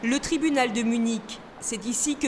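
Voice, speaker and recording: High-pitched female speech with fairly even intonation. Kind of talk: news reading. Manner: formal, measured; steady, neutral delivery.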